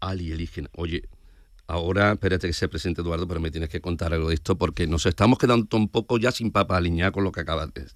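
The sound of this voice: A man speaks fast at a low pitch with ordinary pitch variation.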